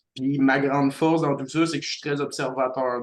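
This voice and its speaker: He is a man speaking with a Quebec accent. His intonation stays fairly even at a moderate pace. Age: 20s. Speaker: community life coordinator. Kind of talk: podcast introduction. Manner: halting.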